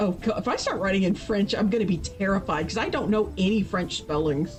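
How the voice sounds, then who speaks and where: Music plays in the background as a woman with an American accent speaks at a fairly quick pace with an animated tone. Her medium pitch shows ordinary variation, and her loudness stays very even. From US Midwest, Ohio. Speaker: streamer. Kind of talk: casual chat.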